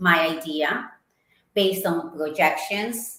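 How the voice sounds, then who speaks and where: In an Ecuadorian accent, a woman speaks at a very slow pace amid audible room echo. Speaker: marketing executive. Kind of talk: interview.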